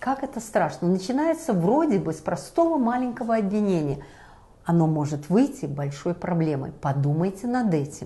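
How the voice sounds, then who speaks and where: A woman's somewhat breathy voice, dark and mellow in tone, sits at a medium pitch but moves through very wide pitch swings. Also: moderate pace. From Belarus. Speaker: talk show host. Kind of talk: discussion show.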